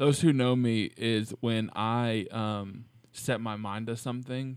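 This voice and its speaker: A plain, everyday voice from a man, medium in pitch, with fairly even intonation, a fairly slow pace, and a very clean recording over a silent background. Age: 20s. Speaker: podcast co-host, teacher. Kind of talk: casual chat.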